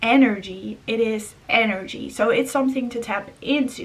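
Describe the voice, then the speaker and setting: A woman's fairly high voice with a non-native accent, fairly slow pace and ordinary pitch variation over noticeable background noise. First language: not English. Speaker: spiritual vlogger. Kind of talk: casual monologue. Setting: indoors.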